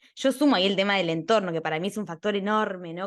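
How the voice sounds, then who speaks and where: A woman speaks in an Argentine accent at a medium pitch, with an animated tone. The background is quiet. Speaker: podcast host, architect. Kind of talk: interview conversation.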